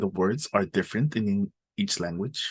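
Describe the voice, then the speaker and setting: A man with an American accent speaks at a fairly low pitch with ordinary variation. The sound is dry and close, with no echo. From US. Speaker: tech worker. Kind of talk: webinar interview. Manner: hesitant, many fillers.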